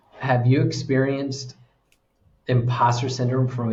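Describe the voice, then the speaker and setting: A man with an American accent speaks at a moderate pace and medium pitch, somewhat breathy, with audible room echo. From United States. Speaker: executive coach. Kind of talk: interview conversation.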